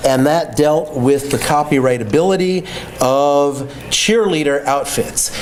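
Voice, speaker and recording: There is audible room echo and noticeable background noise as a man speaks at a fairly slow pace and fairly high pitch, with ordinary pitch variation. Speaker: copyright lawyer and litigator. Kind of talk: lecture.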